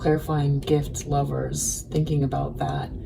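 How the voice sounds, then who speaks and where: A woman speaks at a very slow pace. Audible room echo and noticeable background noise are present. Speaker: tarot reader. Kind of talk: tarot reading. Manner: slow and careful.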